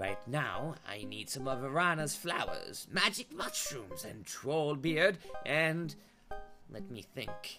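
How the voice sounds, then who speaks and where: Clear music plays in the background as a put-on character voice speaks at a very slow pace. The pitch sits in the middle range. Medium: actual play. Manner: chatty, homely.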